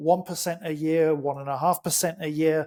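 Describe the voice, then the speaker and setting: This man's voice carries a dark, mellow tone. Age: 60s. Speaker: supplement entrepreneur. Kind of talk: podcast interview. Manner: animated.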